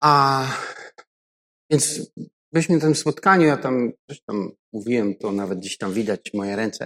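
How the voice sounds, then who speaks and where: With a dry, close sound and no echo, a man speaks at a moderate pace in a medium pitch, using lively intonation and taking long, frequent pauses. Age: 50s. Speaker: pastor. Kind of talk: sermon.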